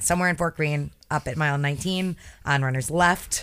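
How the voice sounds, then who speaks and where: An American accent with fairly even intonation, in a very clean recording against a silent background. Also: woman. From Connecticut, US. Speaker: podcast host and running writer. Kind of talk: casual interview chat.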